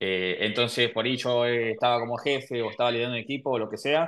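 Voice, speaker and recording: A man's voice at medium pitch. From Argentina, Buenos Aires. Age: 30s. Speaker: podcast host. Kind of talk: casual interview chat.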